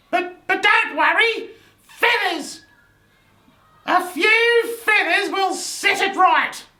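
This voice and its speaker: A put-on character voice sits at an extremely high pitch. It moves very slowly, broken by long, frequent pauses. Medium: read story. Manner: fluttery.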